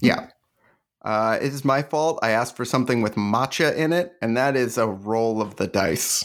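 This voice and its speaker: In a very clean recording with a silent background, a man with a normal speaking voice talks at a moderate pace, at medium pitch, with ordinary pitch variation. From Canada. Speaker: podcast host and comedian. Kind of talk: casual chat.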